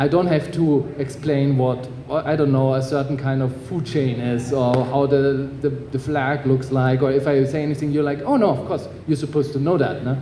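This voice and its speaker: A man's fairly high, monotone, flat voice at a moderate pace, with audible room echo and noticeable background noise. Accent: German. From Germany. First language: German. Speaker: author. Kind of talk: panel discussion. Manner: halting, many fillers.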